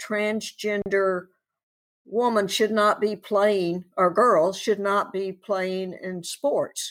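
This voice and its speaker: At a very slow pace, a woman with a slight Southern US accent speaks in a medium pitch. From Tennessee. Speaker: advocate and former coach. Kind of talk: casual interview.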